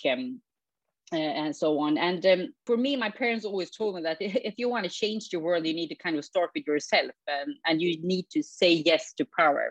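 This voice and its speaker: Her fairly low-pitched voice moves in very wide pitch swings as the woman talks at a moderate pace, in a dry, close sound with no echo. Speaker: former politician. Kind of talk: interview. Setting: recorded from home.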